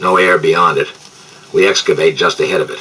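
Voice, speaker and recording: A raspy, put-on character voice from a man at a fairly quick pace. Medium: read story. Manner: cheerful, folksy.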